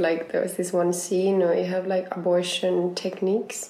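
A woman with a Finnish accent speaks at a medium pitch against noticeable background noise. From Finland. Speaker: circus artist. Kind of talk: casual chat. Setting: at home.

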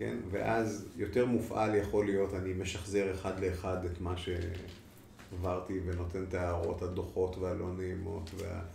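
A man speaks at a fairly slow pace in a very deep, low pitch with fairly even intonation. Audible room echo and noticeable background noise surround him. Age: 50s. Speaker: clinical psychologist. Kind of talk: interview.

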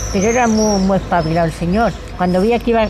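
Noticeable background noise sits behind a woman whose intonation is fairly even. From Salamanca province, Spain. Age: 70s. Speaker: elderly villager sharing memories. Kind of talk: oral history interview.

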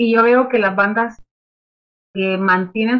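A woman speaks at a moderate pace in an ordinary speaking voice, fairly high in pitch, with ordinary pitch variation. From Nicaragua. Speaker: music publicist and artist manager. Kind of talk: interview. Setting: video call from home.

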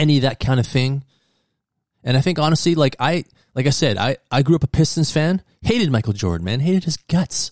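Here a man uses an ordinary speaking voice, pitched fairly high, with lively intonation at a fairly quick pace, and the sound is dry and close with no echo. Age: 50s. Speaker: sports podcast host. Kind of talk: solo monologue.

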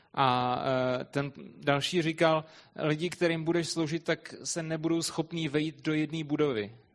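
With a fairly high pitch for a man, he talks at a moderate pace in an unremarkable speaking voice, his intonation fairly even. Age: young. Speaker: interpreter. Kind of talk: consecutive interpreting of a sermon.

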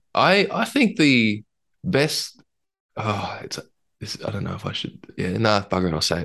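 A man with an Australian accent speaks at a moderate pace, leaving long, frequent pauses. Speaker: podcast co-host, agile coach. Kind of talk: casual chat.

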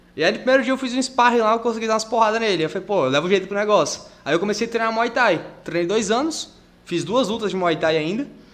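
A man with a high voice talks at a very fast pace, his intonation lively. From Porto Velho, Rondônia, Brazil. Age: 20s. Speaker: jiu-jitsu athlete and social project instructor. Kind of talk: casual chat.

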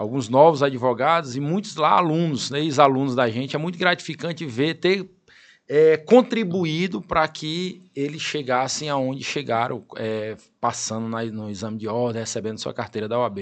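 There's a plain, everyday voice here, a man at a fairly high pitch and moderate pace with lively intonation against a quiet background. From Piauí interior, Brazil. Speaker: lawyer and law professor. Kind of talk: interview.

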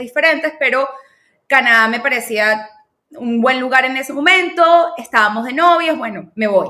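This woman talks at a fairly quick pace with a high pitch, a bright, sharp tone and ordinary pitch variation. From Venezuela, Caracas. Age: 30s. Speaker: marketing specialist. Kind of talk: interview conversation.

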